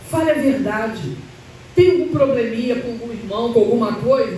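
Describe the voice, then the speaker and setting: Amid noticeable background noise and audible room echo, a woman talks at a fairly high pitch. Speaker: church speaker. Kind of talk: sermon. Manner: halting, self-correcting.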